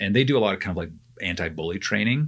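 A man speaks in an ordinary speaking voice at a fairly quick pace with lively intonation. The recording is very clean, with a silent background. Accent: Canadian. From Canada. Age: 40s. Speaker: theology professor. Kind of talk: casual interview chat.

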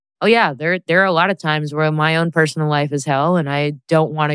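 A woman's very deep, low voice with an American accent, a fairly quick pace, fairly even intonation and a dry, close sound with no echo. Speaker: musician. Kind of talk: casual chat.

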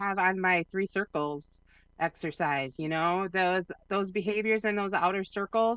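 Against a quiet background, a woman with an American accent speaks at a moderate pace and medium pitch with ordinary pitch variation, in a dry, close sound with no echo. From US Midwest (Minnesota and Wisconsin). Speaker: women's recovery group coordinator. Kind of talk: casual podcast conversation.

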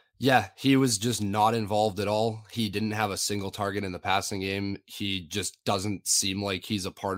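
Fairly low in pitch, a man talks in a plain, everyday voice at a moderate pace. The recording is very clean, with a silent background. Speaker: fantasy football analyst. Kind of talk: casual sports analysis chat.

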